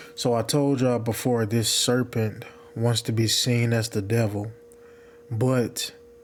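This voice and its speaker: A man speaks quietly at a fairly slow pace with medium pitch and a monotone, flat intonation, with noticeable background noise. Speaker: religious video maker. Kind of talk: religious teaching monologue. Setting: at home, partner sleeping in room. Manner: quiet, low volume.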